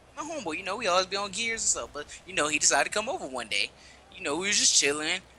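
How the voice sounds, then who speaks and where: In a raised, projected voice, the speaker goes at a very fast pace with very wide pitch swings over noticeable background noise. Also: man. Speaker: podcast co-host, gamer. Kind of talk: casual chat, storytelling. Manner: animated, casual.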